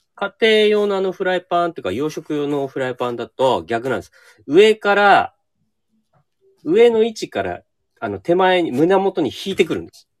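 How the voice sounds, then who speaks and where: At a moderate pace, a man with a high voice makes very wide pitch swings and big swings in loudness, in a dry, close sound with no echo. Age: 50s. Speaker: restaurant owner and chef. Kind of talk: casual interview.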